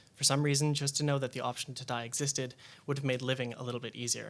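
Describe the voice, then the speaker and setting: Very fast and flat, a man talks in a monotone. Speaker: journalist and panelist. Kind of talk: prepared speech read from phone. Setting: public panel with audience.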